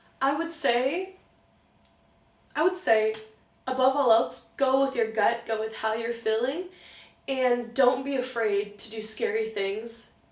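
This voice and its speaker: Audible room echo surrounds a woman with an American accent who speaks fairly slowly in a fairly high, animated voice with ordinary pitch variation. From US, partly raised in Germany. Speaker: film student, writer and script supervisor. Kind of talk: interview.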